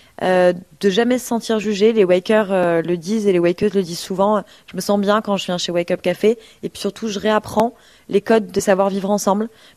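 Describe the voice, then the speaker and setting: In a very clean recording with a silent background, a woman of medium pitch talks at a fairly quick pace in a flat monotone. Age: 20s. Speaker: nonprofit worker. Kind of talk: radio interview.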